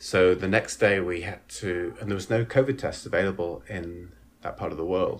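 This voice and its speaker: A man speaks at a moderate pace with a very deep, low pitch. His voice is somewhat breathy. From northern England, Leeds. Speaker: actor and director. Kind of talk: casual interview.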